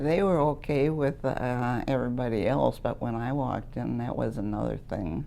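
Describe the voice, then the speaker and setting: A woman talks at a moderate pace with hardly any pauses, her very deep, low pitch carrying a dark, mellow tone and vocal fry. Her intonation is lively, and room echo is audible. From Wisconsin. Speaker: retired letter carrier. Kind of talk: oral history interview. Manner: loud; talkative, laughs often.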